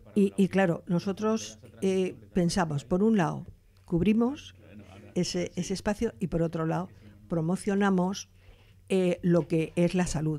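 In a dark, mellow tone, a woman speaks at a fairly slow pace with ordinary pitch variation and long, frequent pauses. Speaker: retired doctor, advocate for older people; guest. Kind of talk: interview. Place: studio. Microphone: studio mic.

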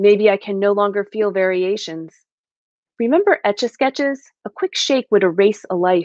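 Over a quiet background, a woman speaks at a medium pitch in a dry sound with no echo. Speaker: guest poet. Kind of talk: poetry reading. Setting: video call. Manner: measured, reflective, steady read with quiet, narrative delivery. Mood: calm, reflective. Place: home room. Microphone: webcam.

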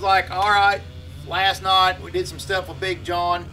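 Light background noise sits under the man's talking. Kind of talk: casual vlog chat. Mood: frustrated, telling a bad day. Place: workshop.

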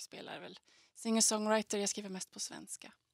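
The speaker is a woman. The sound is dry with no echo against a quiet background. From Skellefteå, Västerbotten, northern Sweden; Västerbotten, Sweden. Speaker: singer-songwriter. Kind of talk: interview answers. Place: studio. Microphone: handheld.

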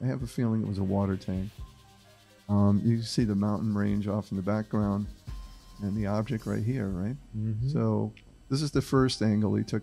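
Against faint music in the background, a man with fairly low pitch and ordinary pitch variation speaks at a moderate pace, leaving long, frequent pauses. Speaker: podcast host presenting a case. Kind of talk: podcast discussion. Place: studio. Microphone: studio mic.

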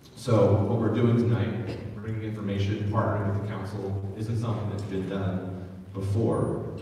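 At a fairly quick pace, the speech comes through strong room echo and light background noise. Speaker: county executive. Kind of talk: town hall speech. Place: hall.

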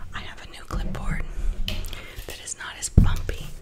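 The pace is very slow. A woman whispers throughout. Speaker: ASMR artist. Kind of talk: ASMR whispered art drawing narration. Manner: whispered, soft-spoken. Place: home room. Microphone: studio mic.

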